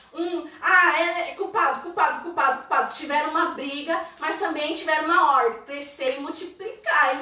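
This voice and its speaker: A woman talks in a raised, projected voice at an extremely high pitch, with an animated tone. She barely pauses, over noticeable background noise. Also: ordinary pitch variation, moderate pace. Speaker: church youth leader. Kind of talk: church teaching livestream. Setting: online livestream.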